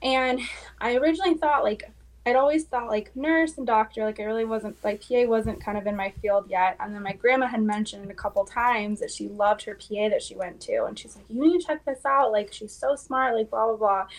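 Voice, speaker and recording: A woman with a plain, everyday voice talks at a fairly quick pace and a fairly high pitch, with ordinary pitch variation and big swings in loudness. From US West Coast. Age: 20s. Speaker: physician assistant student. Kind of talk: interview.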